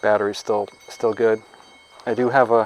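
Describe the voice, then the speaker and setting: Against noticeable background noise, a man speaks in a monotone, flat intonation with a Maine accent. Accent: New England (Maine). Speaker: farmer. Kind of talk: product review. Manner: fast.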